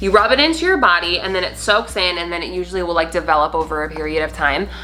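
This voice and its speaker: With noticeable background noise behind it, the voice rushes at a very fast pace in an energetic tone. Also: woman. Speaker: beauty vlogger. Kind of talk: tutorial. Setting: home video recording. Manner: loud; energetic, brisk.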